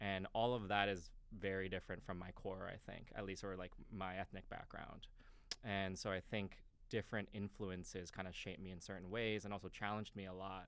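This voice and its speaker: A man with a very deep, low pitch, fairly quick pace and monotone, flat intonation. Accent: New York. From New York, Westchester. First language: Japanese. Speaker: crypto company marketing executive. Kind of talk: podcast interview. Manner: casual, hesitant with fillers.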